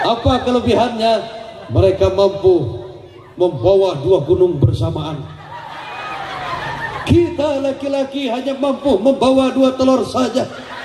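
An extremely high-pitched man at a fairly slow pace, with very wide pitch swings, long, frequent pauses and noticeable background noise. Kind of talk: religious sermon with humor. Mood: joking, playful. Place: hall. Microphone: handheld.

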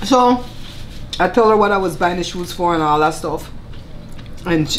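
A woman speaks in a Belizean Creole accent at a moderate pace. Light background noise can be heard. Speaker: cooking channel host. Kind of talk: casual chat while eating (mukbang). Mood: animated, chatty. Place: home room.

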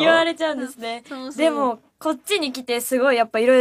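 Against a quiet background, a woman talks in a high pitch with lively intonation. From Kanto, Japan. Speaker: idol group member. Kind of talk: radio talk show chat. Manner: polite. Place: studio.

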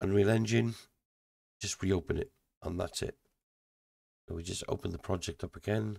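A man's somewhat breathy voice with a dark, mellow tone and fairly even intonation, at a moderate pace with long, frequent pauses. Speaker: indie game developer. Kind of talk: software tutorial. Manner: casual, thinking aloud.

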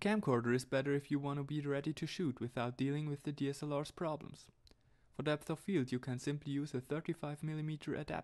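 A man talks at a very fast pace with fairly high pitch. His intonation stays fairly even, and the background is quiet. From Switzerland. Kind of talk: tech tutorial narration.

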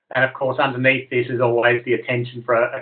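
A man speaks in a monotone, flat intonation. The background is quiet. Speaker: presenter. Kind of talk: webinar presentation. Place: home room. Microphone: webcam.

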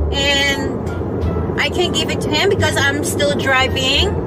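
A woman at a very slow pace, with clear music in the background. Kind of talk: casual vlog chat. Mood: soothing, slightly stressed. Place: car. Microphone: phone near.

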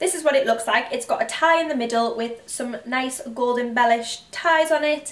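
In a North East England accent, a woman speaks with a high pitch and lively intonation. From County Durham, North East England. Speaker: intensive care nurse and fashion youtuber. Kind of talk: casual talk to camera haul video. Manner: chatty, relaxed. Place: home room. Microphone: camera far.

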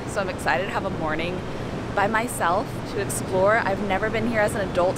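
With a dry sound and no echo, a woman talks at a moderate pace while loud background noise fills in. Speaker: travel vlogger. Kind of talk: casual vlog chat. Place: garden. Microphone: phone near.

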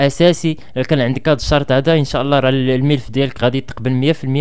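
Over a quiet background, a man talks at a fairly quick pace with fairly even intonation. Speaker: education vlogger. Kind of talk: advice talk to camera. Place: home room. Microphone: studio mic.

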